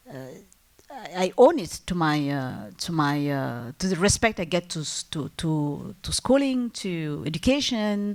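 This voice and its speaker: Speaking fairly slowly in a French accent, a woman has a fairly low pitch and very wide pitch swings. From Algeria, multilingual upbringing. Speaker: entrepreneur, business owner. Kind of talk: panel discussion. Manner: halting, many fillers and restarts.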